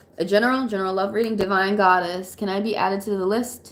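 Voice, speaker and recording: A woman speaks over noticeable background noise. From Atlanta, US South. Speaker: tarot reader. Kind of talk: live stream tarot reading. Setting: live stream. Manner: casual, conversational.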